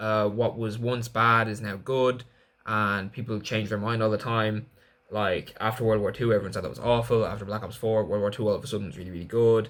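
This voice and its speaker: Using monotone, flat intonation, a man speaks at a fairly quick pace and a fairly low pitch. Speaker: gaming youtuber. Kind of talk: casual commentary video. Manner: fast; filler-heavy, casual.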